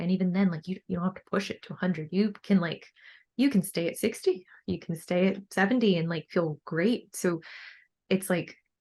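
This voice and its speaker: Somewhat breathy, a woman talks at a fairly quick pace. Her intonation stays fairly even. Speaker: bikini bodybuilder and coach. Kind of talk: podcast interview. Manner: many fillers like 'like' and 'um'.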